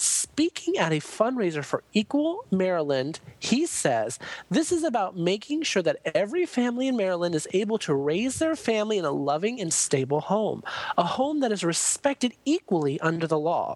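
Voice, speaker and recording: Her pitch swings very wide. The woman speaks in a medium pitch. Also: moderate pace, very even loudness. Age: 20s. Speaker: drag queen podcaster. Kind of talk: casual chat; reading aloud.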